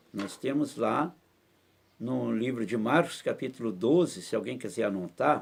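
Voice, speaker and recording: A man with a normal speaking voice talks at a fairly slow pace and a medium pitch, his intonation lively. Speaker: pastor. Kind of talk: bible study teaching in church.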